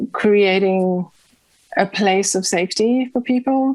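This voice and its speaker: A woman speaks at a very slow pace. Her pitch is medium. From South Africa. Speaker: mystic and community kitchen host. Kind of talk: interview sharing personal story. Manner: hesitant, many fillers.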